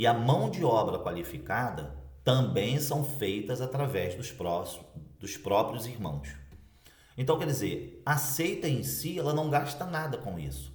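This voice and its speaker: Audible room echo surrounds a man at a medium pitch with vocal fry. He talks at a fairly slow pace, his pitch swinging very widely. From Brazil, Cabo Frio, Rio de Janeiro state. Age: 40s. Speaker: former Jehovah's Witness elder, video blogger. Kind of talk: personal testimony to camera. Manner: casual, conversational.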